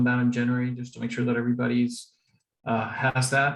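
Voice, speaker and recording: A man talks at a moderate pace and a medium pitch. His voice is somewhat breathy. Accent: Spanish. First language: Spanish. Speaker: district public image volunteer. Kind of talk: presentation.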